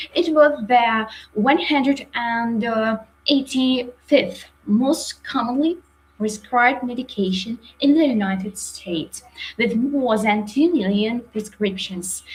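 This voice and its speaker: Speaking at a very slow pace, a woman with a fairly high pitch talks in a Ukrainian accent. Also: ordinary pitch variation. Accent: non-native English, Ukrainian. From Ukraine, Sumy region. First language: Ukrainian or Russian. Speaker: psychiatrist. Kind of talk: lecture. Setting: live webinar. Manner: halting, many fillers.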